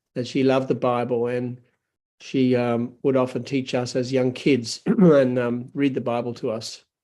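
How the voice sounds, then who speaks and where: A man at a moderate pace with an Australian accent, medium pitch, a dark, mellow tone and monotone, flat intonation. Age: 70s. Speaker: pastor. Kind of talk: testimony. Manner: halting.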